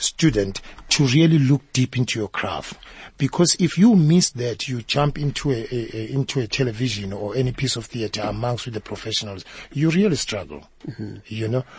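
With lively intonation and a somewhat breathy sound, the speaker moves at a moderate pace. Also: man. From South Africa, KwaZulu-Natal (township outside Durban). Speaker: actor. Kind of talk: interview. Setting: studio.

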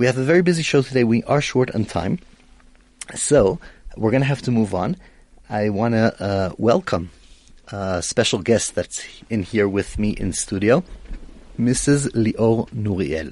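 Speaking fairly slowly with long, frequent pauses, a man with a medium-pitched voice uses lively intonation in an Israeli accent. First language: Hebrew. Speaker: radio host. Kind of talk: radio talk show interview. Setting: radio studio.

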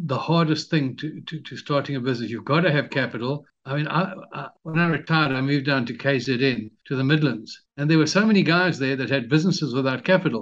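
An unremarkable speaking voice from a man, fairly quick with hardly any pauses, ordinary pitch variation and a quiet background. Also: fairly high pitch for a man. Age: 60s. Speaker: retired entrepreneur and author. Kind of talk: interview.

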